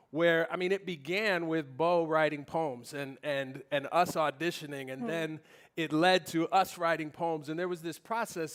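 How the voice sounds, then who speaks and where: A man uses an ordinary speaking voice at a moderate pace. His pitch is fairly high, with ordinary variation. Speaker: poet and spoken word performer. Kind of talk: panel conversation on stage.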